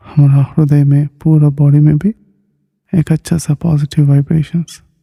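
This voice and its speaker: Somewhat breathy, a man speaks at a fairly high pitch in a dark, mellow tone. His loudness stays very even and his intonation monotone and flat. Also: dry, close sound with no echo. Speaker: meditation teacher. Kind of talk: guided meditation. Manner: slow; soft-spoken.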